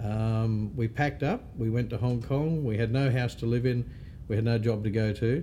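He speaks with an Australian accent and ordinary pitch variation. His loudness stays very even throughout. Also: medium pitch for a man, moderate pace. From Australia, Northern Territory (Darwin). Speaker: real estate association CEO. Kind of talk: interview.

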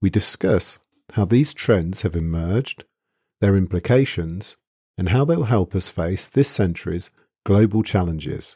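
A man's very deep, low voice in a British accent, at a fairly slow pace, with a dry, close sound and no echo. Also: ordinary pitch variation, very clean recording, silent background. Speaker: podcast host, engineering academic. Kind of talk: interview.

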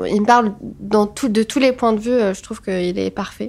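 With a normal speaking voice, a woman speaks at a moderate pace, her pitch fairly high and her intonation fairly even. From Tunisia, Tunis. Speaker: photographer. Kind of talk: casual interview chat.

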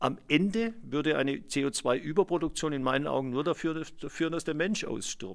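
A man speaks with vocal fry and lively intonation. The recording is very clean, the background silent. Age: 60s. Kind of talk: interview, explanatory.

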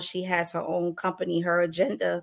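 At a moderate pace, the speaker uses a normal speaking voice. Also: woman. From New York City. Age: 30s. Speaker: journalist and massage practitioner. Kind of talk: interview podcast conversation.

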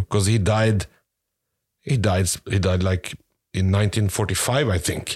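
On a very clean recording with a silent background, a man with a non-native accent speaks at a fairly low pitch with fairly even intonation. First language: not English. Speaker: podcast co-host. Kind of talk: casual comedic chat. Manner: halting, searching for words.

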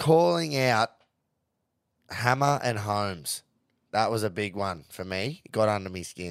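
In a Queensland accent, a man speaks at a fairly low pitch and a fairly slow pace, leaving long, frequent pauses. His tone is animated and his intonation lively, on a very clean recording with a silent background. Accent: Australian, Queensland. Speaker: podcast host, rugby league and punting. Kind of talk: casual banter, sports recap. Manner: excitable, animated, swears a lot.

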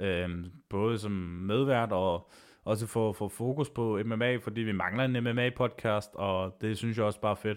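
At a fairly slow pace, a man speaks at a fairly low pitch with fairly even intonation. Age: 30s. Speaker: MMA podcast host. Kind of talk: solo podcast monologue. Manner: halting, many filler sounds.

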